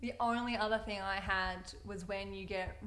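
A woman talks at a moderate pace and medium pitch. Noticeable background noise runs behind her. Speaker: partner of host, guest. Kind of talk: casual chat.

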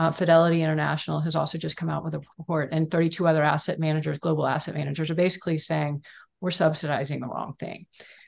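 The speech runs at a very fast pace with monotone, flat intonation and vocal fry. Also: woman, very deep, low pitch for a woman. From Texas, Houston. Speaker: author and food activist co-host. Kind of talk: casual interview chat. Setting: video call livestream.

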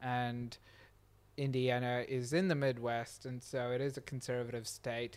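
This man talks at a fairly slow pace. His intonation is monotone and flat. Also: medium pitch for a man. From Dubai, UAE (Indian family). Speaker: serial entrepreneur. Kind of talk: casual interview conversation. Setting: home recording with microphones.

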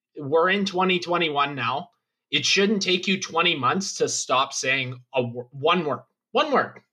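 Lively intonation marks this man's high-pitched voice. He speaks at a very slow pace with very even loudness. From Thunder Bay, Canada. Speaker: guest. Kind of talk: casual chat.

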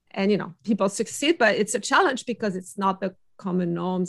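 A woman with a French accent at a fairly quick pace, against a quiet background. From France. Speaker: innovation consultant. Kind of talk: interview.

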